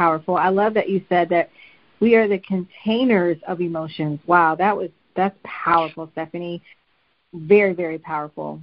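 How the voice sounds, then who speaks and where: A woman with an unremarkable speaking voice and fairly low pitch talks at a moderate pace with fairly even intonation. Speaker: podcast host. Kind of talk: interview conversation.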